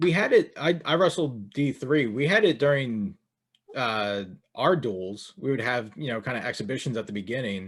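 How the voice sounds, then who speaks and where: A man talks with a Philadelphia accent and lively intonation at a moderate pace. The recording is very clean, with a silent background. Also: medium pitch for a man. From Philadelphia area, Delaware County. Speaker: fantasy wrestling podcast host. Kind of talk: casual podcast chat.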